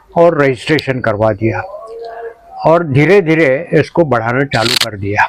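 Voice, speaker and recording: There is noticeable background noise behind the speaker. A man talks with lively intonation. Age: 80s+. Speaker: retired college principal and gardener. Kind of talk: interview.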